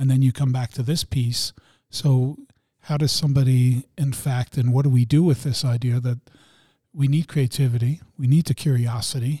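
A man talks at medium pitch and a moderate pace, his voice somewhat breathy with a dark, mellow tone and fairly even intonation, in a dry, close sound with no echo. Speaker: podcast co-host. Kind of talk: casual chat. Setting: studio.

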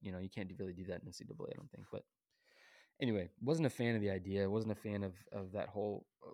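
A man with an American accent, fairly low in pitch, at a very fast pace against a quiet background. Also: dry, close sound with no echo. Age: 20s. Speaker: podcast host, former baseball pitcher. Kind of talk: casual monologue. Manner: animated.

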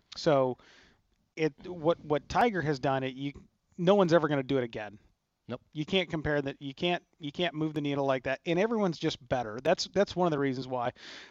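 Here a man uses a normal speaking voice at a fairly quick pace. His pitch is fairly high with ordinary variation, and the sound is dry and close with no echo. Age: 30s. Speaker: pro golfer. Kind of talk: radio golf talk show. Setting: remote broadcast at a golf studio.

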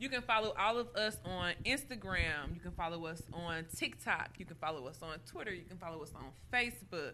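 With an American accent and an unremarkable speaking voice, a woman talks at a fairly quick pace with hardly any pauses, her fairly low pitch carrying lively intonation and big swings in loudness. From Indianapolis, Indiana. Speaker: nail salon owner. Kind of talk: casual interview.

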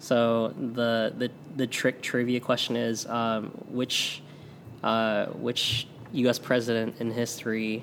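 A man with an American accent talks at a medium pitch in a monotone, flat intonation. Noticeable background noise can be heard. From St. Louis area, US Midwest. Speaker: Korean adoptee, Air Force veteran, community organizer. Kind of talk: casual interview chat.

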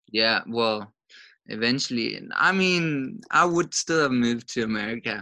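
A man's medium-pitched voice, bright and sharp in tone, with lively intonation and a fairly slow pace over a quiet background. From Denmark. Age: 20s. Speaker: young adult son. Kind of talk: interview.

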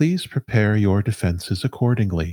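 A man uses a put-on character voice, fairly low in pitch and moderate in pace, recorded with a dry, close sound and no echo. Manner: calm, composed.

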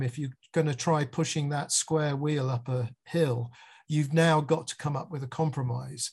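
A somewhat breathy man with an English accent speaks at a moderate pace, fairly high in pitch, with fairly even intonation. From England. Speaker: music video director. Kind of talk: interview.

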